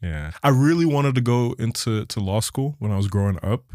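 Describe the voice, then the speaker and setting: At a fairly quick pace, the voice comes across dark and mellow, with a dry, close sound and no echo. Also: man. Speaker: entrepreneur and speaker. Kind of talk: casual chat.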